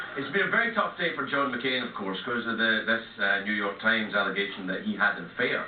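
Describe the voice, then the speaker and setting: A man with a Scottish accent talks fairly quickly at medium pitch with lively intonation. Background noise is noticeable. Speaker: late-night TV host. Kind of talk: comedy monologue. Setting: TV studio.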